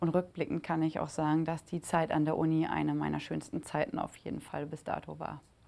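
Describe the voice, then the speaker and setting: A woman talks at a fairly quick pace. She hardly pauses at all. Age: 30s. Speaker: football club executive. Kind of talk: interview testimony. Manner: hesitant, many filler sounds. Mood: warm, reflective. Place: studio. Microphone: lapel.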